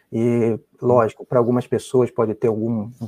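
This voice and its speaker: A man's dark, mellow tone over a quiet background. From Brazil, Rio de Janeiro. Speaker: biomedical researcher. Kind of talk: interview.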